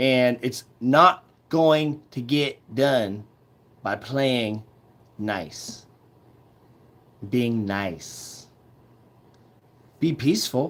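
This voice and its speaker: Loud and bright with a sharp tone, a man speaks at a very slow pace with lively intonation and long, frequent pauses. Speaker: activist livestreamer. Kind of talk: livestream monologue.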